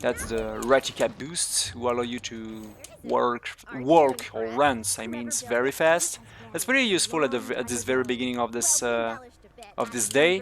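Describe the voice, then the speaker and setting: The speaker has a non-native accent and keeps a moderate pace. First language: not English. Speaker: speedrunner. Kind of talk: live gameplay commentary. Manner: halting.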